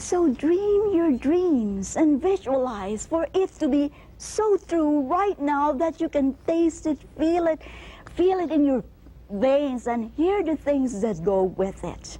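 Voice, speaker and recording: A woman talks at a very slow pace. Her pitch sits high and swings very widely. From Canada. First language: not English. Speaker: motivational speaker. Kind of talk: motivational speech. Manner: animated.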